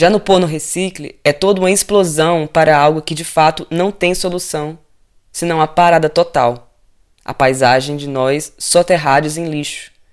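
A man with an unremarkable speaking voice talks at a moderate pace, his pitch fairly high and his intonation fairly even. The recording is very clean, with a silent background. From Ceará, Brazil. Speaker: radio host, cook and artist. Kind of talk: reading aloud.

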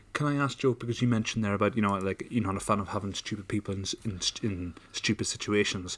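A man rushes along very fast, his pitch fairly low and his intonation fairly even. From Ireland. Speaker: podcast co-host. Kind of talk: casual chat. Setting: studio.

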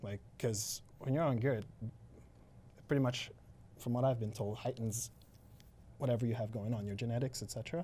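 Somewhat breathy and dark, mellow in tone, a man's medium-pitched voice keeps fairly even intonation. He moves at a fairly quick pace yet leaves long, frequent pauses. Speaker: gym owner and bodybuilder. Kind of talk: casual interview chat. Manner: casual, laid-back.

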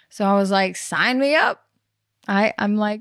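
A woman with an American accent speaks at a medium pitch. The recording is very clean with a silent background, and the sound is dry and close with no echo. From US South. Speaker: actress. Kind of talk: casual chat.

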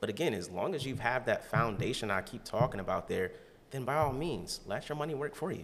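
With an American accent, a normal speaking voice moves at a fairly quick pace. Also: man. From Ohio, Canton. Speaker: financial advisor. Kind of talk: casual interview.

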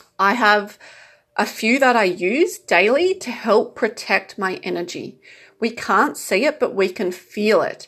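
This is an ordinary speaking voice with lively intonation, delivered at a fairly slow pace. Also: woman, fairly high pitch for a woman, quiet background. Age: 30s. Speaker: spiritual self-help podcaster. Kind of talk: monologue advice talk.

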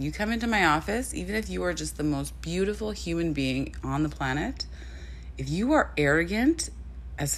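A woman's voice with audible room echo. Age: 30s. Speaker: model and podcast host. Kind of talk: casual solo podcast monologue.

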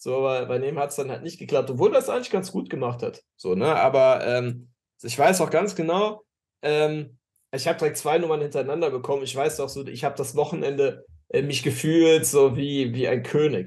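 Somewhat breathy, this man's voice has a fairly high pitch and ordinary pitch variation. He speaks at a moderate pace. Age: 30s. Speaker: dating coach podcast co-host. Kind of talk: casual chat. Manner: halting, many fillers.

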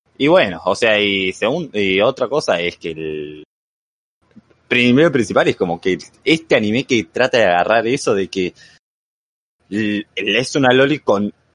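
A man with an ordinary speaking voice, medium in pitch, speaks at a fairly slow pace with lively intonation, in a dry, close sound with no echo. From Argentina. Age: 20s. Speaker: anime fan guest. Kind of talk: casual chat.

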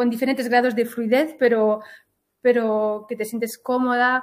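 The woman here has a fairly high pitch. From Switzerland, Galician-speaking family. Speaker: podcast host and Spanish teacher. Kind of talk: interview, casual chat.

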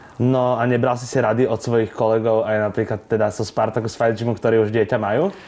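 A man talks in a normal speaking voice at medium pitch with fairly even intonation. He moves at a fairly quick pace with hardly any pauses. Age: 20s. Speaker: podcast interviewer. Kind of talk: interview.

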